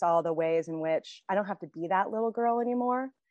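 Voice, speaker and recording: A woman with a US Midwestern accent, ordinary pitch variation, and a dry, close sound with no echo against a quiet background. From Indiana, US Midwest. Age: 50s. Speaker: author. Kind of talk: interview.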